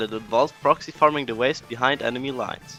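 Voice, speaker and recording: Over music in the background, a man with a German accent speaks very fast, his pitch rising and falling an ordinary amount. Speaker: gaming guide creator. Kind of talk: video game guide narration. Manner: playful, energetic.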